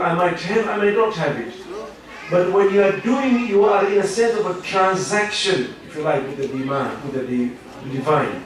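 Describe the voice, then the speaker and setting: Lively intonation from a man at a high pitch, with noticeable background noise and audible room echo. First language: Swahili. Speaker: professor, Islamic lecturer. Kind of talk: lecture. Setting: Islamic centre, audience.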